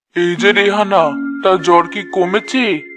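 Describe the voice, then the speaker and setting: A woman at a medium pitch performs a cartoonish character voice over faint music in the background. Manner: haughty, commanding.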